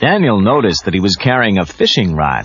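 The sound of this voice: With big pitch swings and a slightly husky edge, a man talks at a fairly low pitch and a fairly quick pace.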